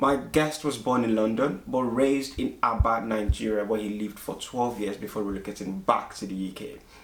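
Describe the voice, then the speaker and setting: A man speaks at a fairly quick pace with hardly any pauses, in an unremarkable speaking voice of medium pitch and ordinary pitch variation. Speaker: podcast host. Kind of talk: interview questions, show host.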